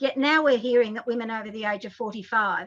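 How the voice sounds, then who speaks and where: With an Australian accent, a woman talks at a fairly quick pace in a fairly high pitch, her tone bright and sharp. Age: 60s. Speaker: advocacy group president. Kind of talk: interview discussion. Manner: animated.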